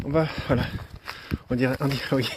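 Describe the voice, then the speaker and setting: Noticeable background noise sits under speech with fairly even intonation. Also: man. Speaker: paranormal investigator streaming live. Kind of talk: live stream commentary. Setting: outdoors at night, live stream.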